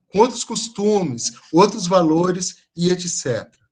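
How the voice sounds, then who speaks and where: A man with a high pitch speaks at a fairly slow pace, showing ordinary pitch variation. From Brazil, mostly São Paulo. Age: 40s. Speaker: teacher. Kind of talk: online lecture. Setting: video call.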